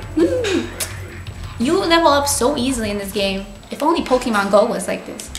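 Faint music plays in the background as a woman talks at a fairly quick pace with audible room echo. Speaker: gamer streamer. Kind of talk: gameplay commentary. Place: home room.

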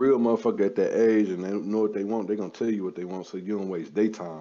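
Talking at a very fast pace, a man has a fairly low pitch, ordinary pitch variation and a dark, mellow tone. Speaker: podcast host. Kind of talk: angry rant. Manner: loud, aggressive, profane, heated and boastful.

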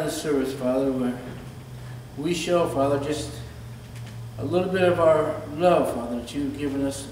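With audible room echo and light background noise, a man speaks at a moderate pace and fairly even intonation, leaving long, frequent pauses. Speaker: church announcer. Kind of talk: prayer and announcements. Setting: church. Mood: reverent, earnest. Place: church. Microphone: podium.

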